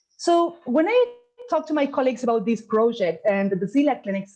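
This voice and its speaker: Speaking at a fairly quick pace, a woman with an Argentine accent has a fairly high pitch, very wide pitch swings and a dark, mellow tone. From Argentina. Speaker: gastroenterologist. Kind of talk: conference talk. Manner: halting.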